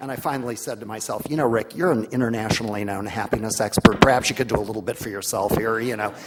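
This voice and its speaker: A man's medium-pitched voice with ordinary pitch variation against noticeable background noise. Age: 60s. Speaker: happiness expert, conference panelist. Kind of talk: panel discussion.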